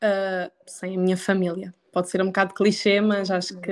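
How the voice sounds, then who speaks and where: A woman speaks with a central Portugal accent in a medium pitch. Her delivery is monotone and flat, at a moderate pace. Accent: European Portuguese, central Portugal. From Portugal, Aveiro district. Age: 20s. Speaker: nutritionist. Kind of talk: casual chat. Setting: remote recording without headphones.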